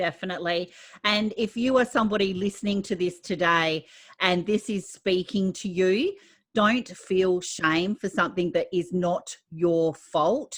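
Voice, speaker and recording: A woman talks in an ordinary speaking voice at a fairly slow pace. Her pitch is medium, with ordinary variation. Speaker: podcast host. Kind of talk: podcast interview host.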